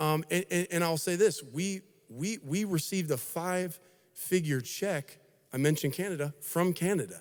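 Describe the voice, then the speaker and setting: An animated tone and lively intonation in a very clean recording with a silent background. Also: man. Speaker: lead pastor. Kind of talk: conference talk. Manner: fast.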